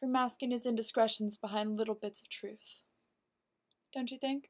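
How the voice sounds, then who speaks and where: A woman speaks over a quiet background. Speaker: actor performing a monologue. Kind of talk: acted dramatic monologue. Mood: cool, pointed, insinuating. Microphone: webcam.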